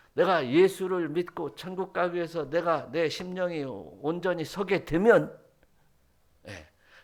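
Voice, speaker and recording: Speaking with a Jeolla accent, a man talks at a fairly slow pace, with a high pitch and ordinary pitch variation. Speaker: pastor. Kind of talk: sermon. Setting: church.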